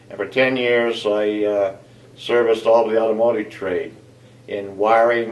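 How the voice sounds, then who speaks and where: There is audible room echo and noticeable background noise. A man with an American accent and a fairly low pitch speaks at a fairly slow pace. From US Midwest, southeastern Ohio. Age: 70s. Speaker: retired engineer. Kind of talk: personal interview. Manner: halting, many fillers.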